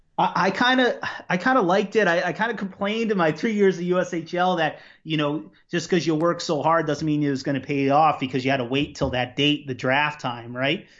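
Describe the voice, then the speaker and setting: With an American accent, a man talks at a fairly quick pace in a normal speaking voice. His pitch is fairly high and his intonation lively. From Long Island, New York. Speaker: college hockey assistant coach. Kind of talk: interview.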